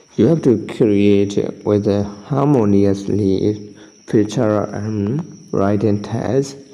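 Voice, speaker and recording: Against noticeable background noise and audible room echo, a man speaks at a fairly low pitch with ordinary pitch variation. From Myanmar. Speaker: tutorial youtuber. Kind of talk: tutorial. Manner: halting.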